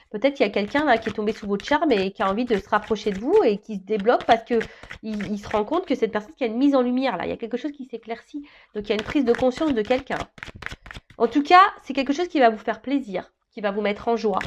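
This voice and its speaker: Ordinary pitch variation marks a woman's voice. She talks at a very fast pace. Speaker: tarot reader. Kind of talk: tarot reading. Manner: hesitant, many fillers.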